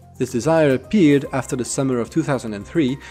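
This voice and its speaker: A man speaks at a fairly quick pace with a medium pitch and ordinary pitch variation. Music plays in the background. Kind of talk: documentary narration.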